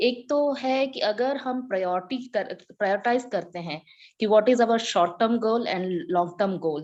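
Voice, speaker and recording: Speaking with a Tamil accent, a woman has a fairly high pitch and lively intonation. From India, Chennai and various regions. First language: Tamil (speaking Hindi). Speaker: Hindi teacher. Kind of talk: group video meeting discussion. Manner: halting, with fillers.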